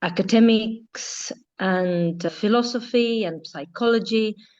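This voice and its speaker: At a fairly slow pace, a woman with an Estonian accent speaks with ordinary pitch variation. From Estonia, Tartu. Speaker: yacht interior designer. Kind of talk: interview conversation.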